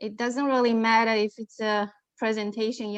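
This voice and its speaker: A woman's fairly high voice at a moderate pace, with ordinary variation in pitch. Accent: non-native. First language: not English. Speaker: aviation professional, panelist. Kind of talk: panel discussion.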